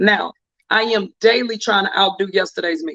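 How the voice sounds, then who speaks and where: The voice is raised and projected, with an animated tone that sounds bright and sharp. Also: man. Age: 40s. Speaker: talk show host. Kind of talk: casual chat. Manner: fast.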